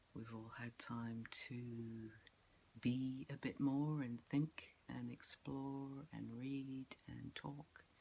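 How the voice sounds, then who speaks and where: Delivery is very slow, broken by long, frequent pauses. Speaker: spiritual wellness vlogger. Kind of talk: casual vlog monologue. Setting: outdoors. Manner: hesitant, many fillers.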